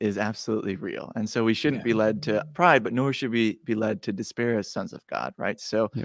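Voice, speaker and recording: Speaking at a fairly quick pace, a man with an American accent uses an ordinary speaking voice at a medium pitch with ordinary pitch variation. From Wisconsin. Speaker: director of content for a men's spiritual program. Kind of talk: podcast interview.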